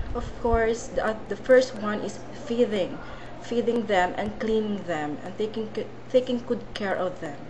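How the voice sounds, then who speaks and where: Noticeable background noise and audible room echo surround a woman's fairly high voice. She speaks fairly slowly with ordinary pitch variation. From Philippines. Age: 20s. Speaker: job applicant, domestic helper. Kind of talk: job interview. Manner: halting.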